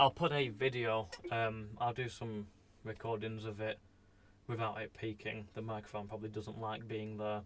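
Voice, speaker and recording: A man mumbles at a moderate pace in a fairly low voice. His intonation is monotone and flat. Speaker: electronics repair streamer. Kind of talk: live stream commentary. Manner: mumbling; casual, hesitant with fillers.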